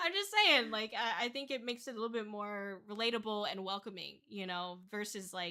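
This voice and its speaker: A woman's fairly high voice, animated in tone, at a fairly quick clip with hardly any pauses and ordinary pitch variation, over noticeable background noise. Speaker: VTuber streamer. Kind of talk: casual chat. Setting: livestream.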